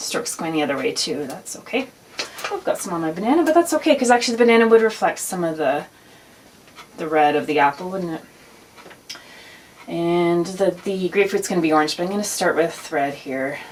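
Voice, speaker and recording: A woman talks at a fairly quick pace with a fairly low pitch and long, frequent pauses. Noticeable background noise runs underneath. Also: lively intonation. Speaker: art teacher. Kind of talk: tutorial. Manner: casual; fast.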